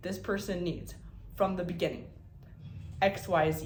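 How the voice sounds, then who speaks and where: A woman's delivery is fairly slow. Behind her, music can be heard. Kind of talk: casual talk to camera.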